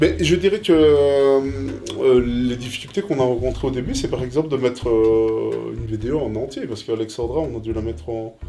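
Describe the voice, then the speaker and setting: Lively intonation at a moderate pace, with audible room echo and music in the background. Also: man, medium pitch for a man. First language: Italian (speaking French). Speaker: co-host of interview channel. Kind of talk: casual anniversary chat. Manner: hesitant, many fillers.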